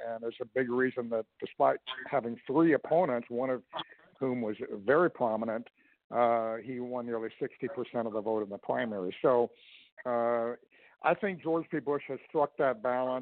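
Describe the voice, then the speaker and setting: A man with a normal speaking voice talks at medium pitch, moving at a moderate pace with ordinary pitch variation. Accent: American. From Texas. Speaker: political commentator and consultant. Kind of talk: radio interview. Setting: phone call.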